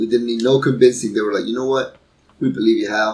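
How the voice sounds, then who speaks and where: Fairly quick and fairly even in intonation, a man talks at a medium pitch. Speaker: gaming YouTuber. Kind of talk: let's play commentary. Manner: soft-spoken. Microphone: cheap home setup.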